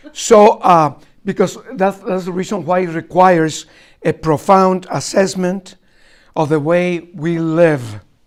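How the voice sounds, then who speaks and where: Speaking at a fairly slow pace, a man with a Spanish accent has a high pitch and ordinary pitch variation. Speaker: archbishop. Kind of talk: lecture. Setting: college talk with students. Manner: halting, with many fillers.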